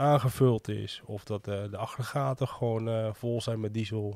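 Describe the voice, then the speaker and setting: Over a quiet background, a man talks at a fairly slow pace. His fairly low voice sounds dry, with no echo. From Medemblik, North Holland, Netherlands; North Holland, Netherlands. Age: 30s. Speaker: small business owner and festival volunteer; guest. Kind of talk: casual interview. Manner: hesitant, many filler sounds. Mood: relaxed, reminiscing. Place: studio. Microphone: studio mic.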